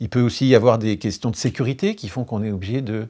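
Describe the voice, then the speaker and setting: With ordinary pitch variation, a man speaks at a moderate pace and a medium pitch. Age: 60s. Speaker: engineer, energy expert. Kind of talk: interview.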